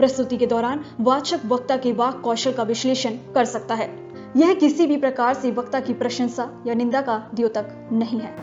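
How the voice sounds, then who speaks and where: A woman speaks in a high voice with fairly even intonation. Music plays in the background. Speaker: voice-over artist. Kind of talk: formal disclaimer voice-over.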